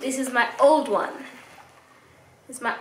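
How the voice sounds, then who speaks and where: Amid noticeable background noise and audible room echo, a woman talks in an animated tone at a high pitch. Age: 20s. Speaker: fitness vlogger. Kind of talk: product review vlog. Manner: casual, animated.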